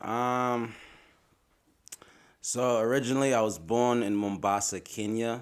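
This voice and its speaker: The speech moves at a fairly slow pace with long, frequent pauses. Intonation is fairly even, and room echo can be heard. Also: man, medium pitch for a man. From Australia (Braybrook, Melbourne), Somali family. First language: Somali. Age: 30s. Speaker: rapper. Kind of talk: casual interview chat.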